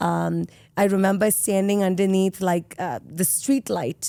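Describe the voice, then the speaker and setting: The voice has a dark, mellow tone at a moderate pace with ordinary pitch variation, recorded dry and close with no echo, in a very clean recording with a silent background. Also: woman. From India, Mumbai. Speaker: solar industry executive. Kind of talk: podcast interview.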